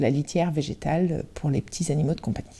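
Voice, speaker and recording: A woman speaks with a dark, mellow tone and fairly low pitch. The recording is very clean, with a silent background. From Brittany, Côtes-d'Armor (France). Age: 40s. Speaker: entrepreneur, company co-founder. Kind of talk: podcast interview. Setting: at her factory. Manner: hesitant, many filler sounds.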